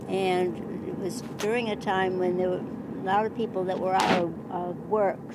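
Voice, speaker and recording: The speaker has an American accent and a fairly even intonation at a fairly slow pace. Noticeable background noise is present. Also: woman. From Iowa, USA. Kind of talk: family storytelling. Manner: hesitant, reflective.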